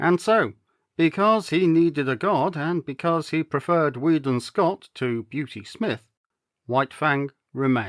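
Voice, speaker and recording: Here a man with an ordinary speaking voice talks at a moderate pace, his pitch fairly high and his intonation lively. The recording is very clean and dry, close with no echo, with a silent background. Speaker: actor and storyteller. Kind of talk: audiobook-style story reading.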